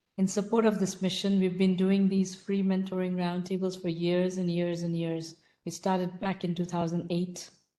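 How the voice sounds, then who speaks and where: Soft-spoken, a woman talks at a moderate pace and medium pitch with a dark, mellow tone and monotone, flat intonation. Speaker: roundtable host for entrepreneurs. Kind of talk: live online mentoring session.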